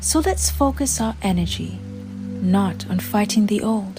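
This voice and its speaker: Music plays in the background as a woman speaks. Her tone is calm and her pace very slow. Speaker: affirmations guide. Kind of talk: affirmation reading. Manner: calm, slow.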